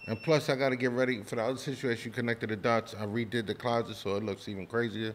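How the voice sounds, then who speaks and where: With a New York accent, a man talks at a very fast pace with hardly any pauses and fairly even intonation. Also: medium pitch for a man. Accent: New York City. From New York City (Spanish Harlem, Brooklyn). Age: 40s. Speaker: podcast host. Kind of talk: casual chat.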